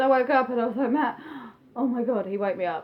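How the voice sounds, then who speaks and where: Fairly quick speech from a woman with a fairly high pitch and ordinary pitch variation, in an English accent. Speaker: vlogger. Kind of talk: personal vlog, testimony. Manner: fast, chatty; hesitant with frequent ums.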